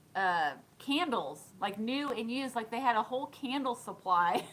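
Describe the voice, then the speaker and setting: A high-pitched woman's voice with lively intonation at a moderate pace, over noticeable background noise. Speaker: thrift reseller and vlogger. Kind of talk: live stream chat and haul. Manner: casual, chatty.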